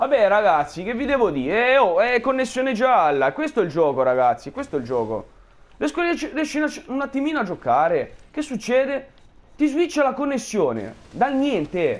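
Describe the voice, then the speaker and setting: An extremely high-pitched man, furious in tone, with very wide pitch swings. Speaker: gamer streaming gameplay. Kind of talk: angry rant over gameplay commentary, cursing at the game. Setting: recorded gameplay voiceover. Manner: furious, exasperated, loud and cursing; shouting repeated demands, fast and sputtering.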